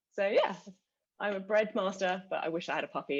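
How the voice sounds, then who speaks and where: The pace is moderate. The speaker has a British accent. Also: woman. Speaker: customer success manager. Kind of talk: panel webinar discussion.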